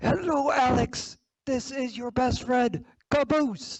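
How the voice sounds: The put-on character voice sits fairly high in pitch and moves at a fairly slow pace.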